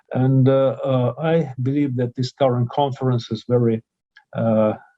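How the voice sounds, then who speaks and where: The speaker has a Russian accent and a fairly slow pace. The intonation stays monotone and flat. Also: man, medium pitch for a man. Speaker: professor, conference speaker. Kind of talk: conference speech. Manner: halting, many filler sounds.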